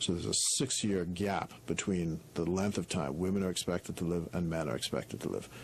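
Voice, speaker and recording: Speaking at a fairly quick pace, a man with a very deep, low voice and vocal fry keeps his loudness very even and his pitch variation ordinary. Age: 60s. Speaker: politician. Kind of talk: radio interview.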